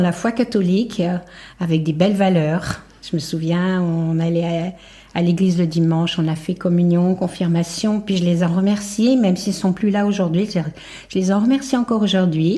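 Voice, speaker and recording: With a dark, mellow tone, a woman speaks in a somewhat breathy voice and fairly even intonation. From France, Haute-Savoie near Geneva. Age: 70s. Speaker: bereaved mother sharing testimony. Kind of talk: testimony.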